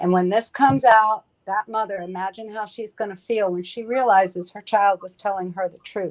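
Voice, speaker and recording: Using a normal speaking voice, a woman talks at a medium pitch and moderate pace with fairly even intonation, hardly any pauses, and big swings in loudness. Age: 60s. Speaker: panelist. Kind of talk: casual chat.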